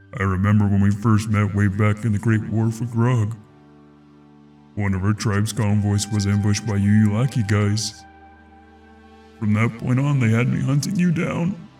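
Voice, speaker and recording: Over clear background music, a man uses a put-on character voice at a fairly low pitch, speaking at a moderate pace with long, frequent pauses. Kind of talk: audio drama dialogue.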